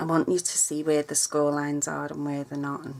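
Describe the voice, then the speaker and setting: Over noticeable background noise, a woman with a very deep, low pitch speaks at a moderate pace in a monotone, flat way. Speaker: papercraft tutorial vlogger. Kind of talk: tutorial. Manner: casual, chatty.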